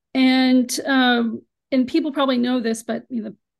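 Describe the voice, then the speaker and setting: With fairly even intonation, a woman speaks at a moderate pace in an unremarkable speaking voice. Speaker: abuse survivor sharing testimony. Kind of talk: testimony. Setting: video call, camera off.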